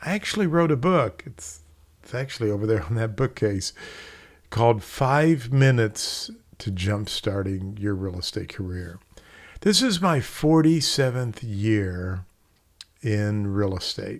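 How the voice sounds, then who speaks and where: In a very clean recording with a silent background, a man talks at a fairly slow pace with a medium pitch, lively intonation and a plain, everyday voice. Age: 60s. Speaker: real estate instructor. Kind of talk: casual talk to camera. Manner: conversational.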